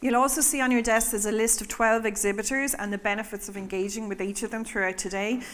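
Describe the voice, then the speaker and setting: A woman talks at a very fast pace with hardly any pauses. Her intonation stays fairly even. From Ireland. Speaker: event MC, nonprofit founder. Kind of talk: event hosting. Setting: conference stage with audience. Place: hall.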